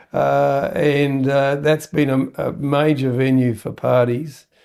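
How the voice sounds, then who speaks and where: The speaker has an Australian accent. The intonation stays fairly even. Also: man. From Perth, Western Australia. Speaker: entrepreneur, company founder. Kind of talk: interview answer. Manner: hesitant, many fillers.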